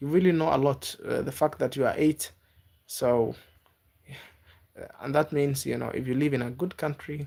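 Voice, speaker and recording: A man with a non-native accent and a fairly high voice speaks at a moderate pace in a dark, mellow tone, his intonation fairly even and his pauses long and frequent. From Africa (Kenya). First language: not English. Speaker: YouTube livestreamer. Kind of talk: casual livestream chat with viewers. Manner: halting.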